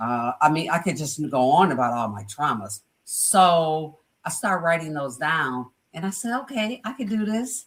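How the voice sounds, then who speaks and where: A woman's very deep, low, somewhat breathy voice with an American accent and very wide pitch swings. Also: moderate pace. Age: 60s. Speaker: life coach and entrepreneur. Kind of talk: podcast interview, personal testimony.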